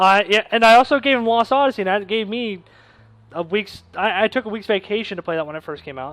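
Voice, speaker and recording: Mumbling at a very fast pace, a man with a high pitch uses lively intonation and big swings in loudness. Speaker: podcast co-host. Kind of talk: casual interview chat.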